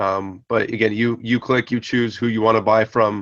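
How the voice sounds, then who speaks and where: Monotone and flat, a man talks at a medium pitch with an American accent. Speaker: 3D printer project maker, video host. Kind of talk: casual live video update. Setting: live video hangout.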